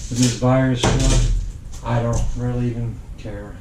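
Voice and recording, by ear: A man with a dark, mellow tone talks at a medium pitch with little pitch movement, and room echo is audible.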